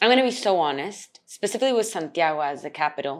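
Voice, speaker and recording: Her pitch swings very widely. The woman keeps a fairly quick pace. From raised in several countries (diplomatic family), mainly Chile. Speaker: actress and English teacher. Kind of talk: casual interview.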